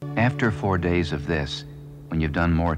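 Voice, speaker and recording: His voice is very deep and low. The man keeps a moderate pace. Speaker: voiceover narrator. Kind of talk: documentary narration. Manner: natural, plain-spoken.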